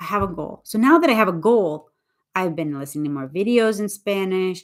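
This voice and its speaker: A very clean recording with a silent background of a woman with an ordinary speaking voice at medium pitch. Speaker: English teacher. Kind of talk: livestream chat. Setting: YouTube live stream.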